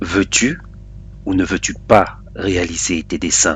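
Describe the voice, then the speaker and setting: A man's put-on character voice, hoarse and very deep, with lively intonation and a fairly slow pace over clear background noise. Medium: read story. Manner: cryptic, commanding.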